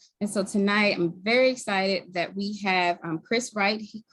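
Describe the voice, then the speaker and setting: With a Baltimore accent, a woman speaks at a moderate pace and a medium pitch. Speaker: community health worker, group co-lead. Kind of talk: event introduction.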